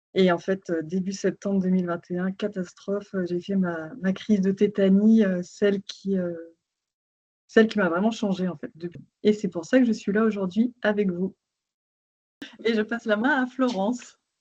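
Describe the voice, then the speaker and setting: A woman with a dark, mellow tone sounds somewhat breathy and leaves long, frequent pauses. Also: medium pitch for a woman, fairly even intonation, moderate pace. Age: 30s. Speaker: patient sharing testimony. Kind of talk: testimony.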